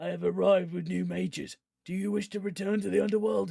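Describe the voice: Putting on a character voice, a man talks at a very fast pace in a high pitch.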